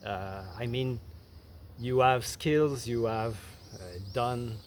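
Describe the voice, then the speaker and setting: Speaking with a Quebec accent, a man at medium pitch moves at a very slow pace with fairly even intonation. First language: French. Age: 50s. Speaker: content creator. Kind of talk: casual talk to camera. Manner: halting, many fillers and restarts.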